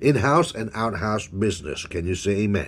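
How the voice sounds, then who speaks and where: An animated man's voice, fairly low in pitch, at a moderate pace in a very clean recording with a silent background. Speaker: preacher. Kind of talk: sermon, preacher in full flow, call-and-response with 'say amen' prompts. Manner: animated, exhortative, punctuated by 'Glory to God' and 'Hallelujah'.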